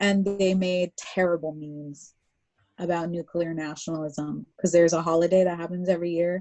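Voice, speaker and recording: The intonation is monotone and flat. The speaker has an American accent. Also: woman, fairly low pitch for a woman, moderate pace. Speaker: artist. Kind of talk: interview conversation. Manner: casual, filler-heavy speech with many likes.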